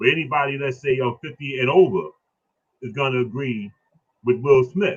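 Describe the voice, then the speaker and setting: A man's somewhat breathy voice in an animated tone, at a fairly slow pace. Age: 60s. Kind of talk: casual discussion on a live stream. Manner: animated, repetitive.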